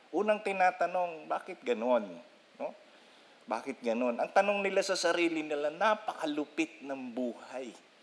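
A high-pitched man at a fairly slow pace with lively intonation. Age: 50s. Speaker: pastor. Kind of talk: sermon.

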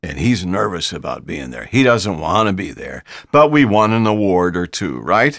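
A man with an American accent and an unremarkable speaking voice talks at a moderate pace with lively intonation. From Ohio, US Midwest. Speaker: podcast host for an advertising association. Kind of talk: casual interview.

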